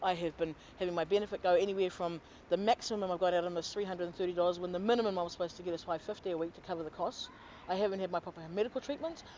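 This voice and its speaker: Delivered at a very fast pace, the speech has fairly even intonation and a New Zealand accent. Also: woman, medium pitch for a woman. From New Zealand, Auckland. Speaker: complainant to government office. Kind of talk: testimony.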